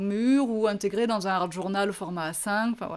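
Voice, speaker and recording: At a moderate pace and a fairly high pitch, a woman speaks with ordinary pitch variation on a very clean recording with a silent background. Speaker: craft shop owner and tutorial host. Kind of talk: craft tutorial. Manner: hesitant fillers.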